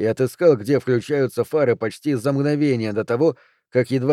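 Someone does plain reading aloud, and the pitch varies in an ordinary way. There is a quiet background.

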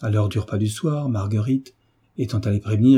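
The words are read aloud. A natural voice carries them.

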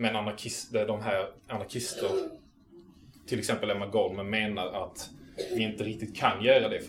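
A man's fairly low voice in a monotone, flat intonation at a moderate pace, with music in the background and audible room echo. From southern Sweden, Malmö area. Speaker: activist lecturer. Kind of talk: lecture. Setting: local venue with live audience. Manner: halting.

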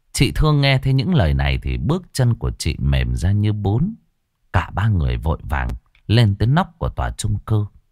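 Quiet background, a natural reading voice

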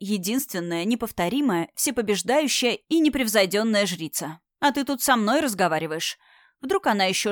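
Against a quiet background comes plain reading aloud with lively intonation.

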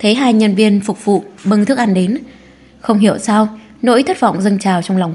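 The speaker uses a natural reading voice. That is the whole of it.

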